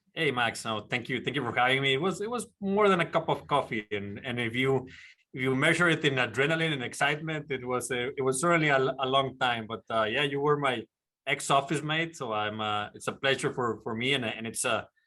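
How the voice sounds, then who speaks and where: A man with a Mexican accent, fairly quick, with ordinary pitch variation. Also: medium pitch for a man. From Mexico, Monterrey. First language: Spanish. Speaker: glass company executive. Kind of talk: interview.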